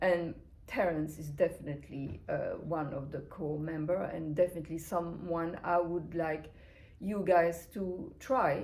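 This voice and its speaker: A woman talks with a fairly low pitch and fairly even intonation. Audible room echo surrounds her voice. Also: fairly slow pace. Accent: non-native. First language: not English. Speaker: brand founder and interviewer. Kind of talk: interview. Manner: hesitant, many fillers.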